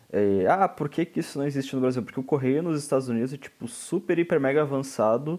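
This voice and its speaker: With a plain, everyday voice, a man speaks fairly quickly at a fairly high pitch, with ordinary pitch variation. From southern Brazil, Rio Grande. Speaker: radio host, journalism student. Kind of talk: casual chat.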